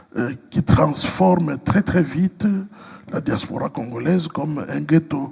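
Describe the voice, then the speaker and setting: A man with a fairly high voice at a very slow pace, lively intonation, and noticeable background noise. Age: 60s. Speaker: pastor. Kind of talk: interview. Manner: hesitant with frequent fillers.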